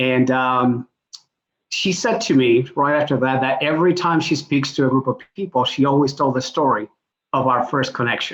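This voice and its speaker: Speaking in a Spanish accent, a man keeps his loudness very even while his pitch varies in an ordinary way. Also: medium pitch for a man, moderate pace. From Puerto Rico. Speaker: executive coach. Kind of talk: panel introduction.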